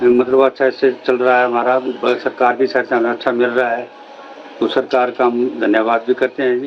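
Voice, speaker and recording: A man's monotone, flat delivery at a medium pitch and moderate pace, with noticeable background noise. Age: 60s. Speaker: pensioner. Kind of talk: testimony.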